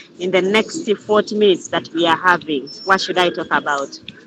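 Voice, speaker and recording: A woman speaks over noticeable background noise. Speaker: group leader / crypto trainer. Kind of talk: online group Q&A session. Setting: Zoom video call. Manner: halting, repetitive.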